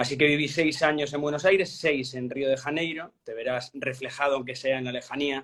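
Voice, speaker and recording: The speaker has a Galician accent and fairly even intonation. There are hardly any pauses. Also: man, fairly high pitch for a man, fairly quick pace. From Galicia, Spain. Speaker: journalist. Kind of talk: interview.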